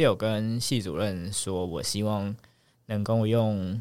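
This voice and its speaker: A man with a fairly low voice speaks at a very slow pace. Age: 30s. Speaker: medical resident. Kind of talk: casual chat.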